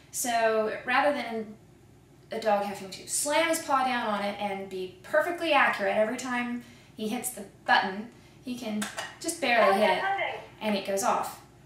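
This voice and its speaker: A woman speaks at a moderate pace with lively intonation, a fairly high pitch and big swings in loudness, against noticeable background noise. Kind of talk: TV commercial read.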